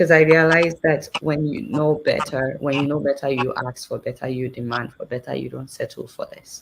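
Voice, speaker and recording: Moderate pace in a Nigerian accent, with big swings in loudness, ordinary pitch variation and hardly any pauses. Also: woman, very deep, low pitch for a woman. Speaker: journalist and satire show host. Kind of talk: interview.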